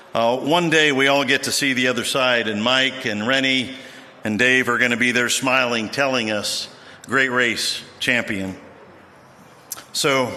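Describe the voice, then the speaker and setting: With fairly even intonation and a moderate pace, a man talks while noticeable background noise runs underneath. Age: 60s. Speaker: BMX veteran speaker. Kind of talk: ceremony speech.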